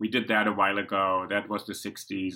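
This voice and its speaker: In a very clean recording with a silent background, a man with a German accent speaks in a bright, sharp tone at a fairly low pitch. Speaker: podcast host. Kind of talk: interview.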